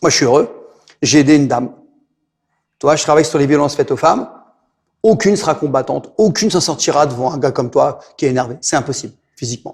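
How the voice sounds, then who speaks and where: A man talks in an animated tone at a very fast pace, sounding somewhat breathy. His speech has long, frequent pauses. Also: fairly high pitch for a man, ordinary pitch variation. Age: 60s. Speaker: martial arts instructor. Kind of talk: interview. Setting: martial arts gym.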